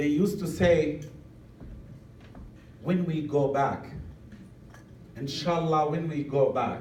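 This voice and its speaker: A man with an Arabic accent talks at a very slow pace, his pitch varying in an ordinary way. Room echo is audible, and background noise is noticeable. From Palestine, refugee camp. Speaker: activist speaker. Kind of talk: public talk.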